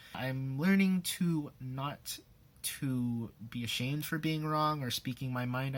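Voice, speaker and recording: Soft-spoken, a man uses a medium pitch with ordinary pitch variation. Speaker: YouTuber, singer doing covers. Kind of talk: personal vlog, advice list.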